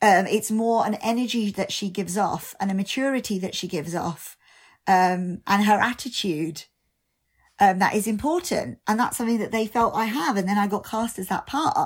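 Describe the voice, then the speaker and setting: A British-accented woman speaks at a moderate pace and medium pitch with ordinary pitch variation, in a very clean recording with a silent background. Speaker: stage actor and singer. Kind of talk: casual interview chat.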